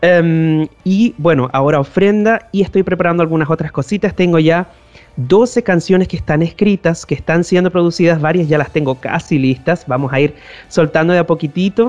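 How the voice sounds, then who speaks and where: With music in the background, a man speaks at a high pitch, using ordinary pitch variation and very even loudness. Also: moderate pace. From northern Chile. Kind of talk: interview. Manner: halting, with frequent repetitions.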